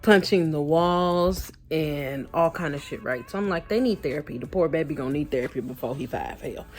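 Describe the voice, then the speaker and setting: With music in the background, a woman with a very deep, low voice talks at a moderate pace with hardly any pauses and ordinary pitch variation. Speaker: vlogger. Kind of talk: casual vlog talk.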